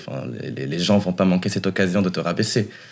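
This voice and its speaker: A man speaks with a fairly low pitch. Noticeable background noise runs behind him. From Morocco (Rabat, then Oujda, north-east). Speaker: drag artist. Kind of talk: casual interview. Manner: hesitant, many fillers.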